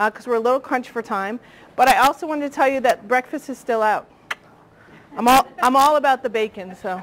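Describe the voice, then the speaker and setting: A woman's high voice at a very fast pace with ordinary pitch variation. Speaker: marketing consultant. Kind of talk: presentation to business audience. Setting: room with live audience.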